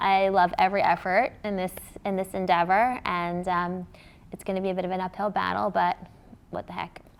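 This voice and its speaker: A woman speaks at a fairly quick pace and a medium pitch. The recording is very clean, with a silent background. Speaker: crypto company founder and CEO. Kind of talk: panel discussion. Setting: stage with audience. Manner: loud.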